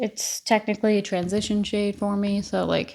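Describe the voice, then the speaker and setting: A woman speaks in a medium pitch. Her pace is moderate. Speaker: beauty vlogger. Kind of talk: casual chat while doing makeup tutorial. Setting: at home.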